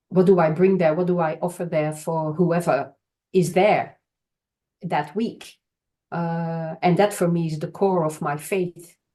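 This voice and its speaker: A woman with a Belgian accent speaks in a flat monotone at a fairly low pitch. Her tone is dark and mellow. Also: fairly slow pace. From Belgium. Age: 60s. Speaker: charity worker. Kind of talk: podcast interview. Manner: halting.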